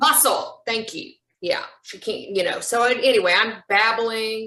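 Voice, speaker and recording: A woman speaks at a fairly slow pace in an unremarkable speaking voice, her pitch fairly high with ordinary variation. Her loudness swings widely. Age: 50s. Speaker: support group member. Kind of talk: testimony.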